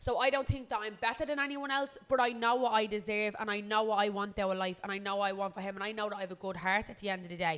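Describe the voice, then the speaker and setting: This woman talks at a very fast pace with a Dublin accent. Her pitch sits in the medium range and varies in an ordinary way. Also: hardly any pauses. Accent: Dublin Irish. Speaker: podcast co-host. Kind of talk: casual chat. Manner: loud.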